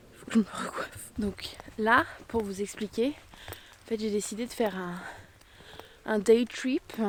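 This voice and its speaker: A woman with a fairly high voice speaks very slowly, using ordinary pitch variation, big swings in loudness and long, frequent pauses over noticeable background noise. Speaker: travel vlogger. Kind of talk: vlog narration. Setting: outdoors. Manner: hesitant, many fillers.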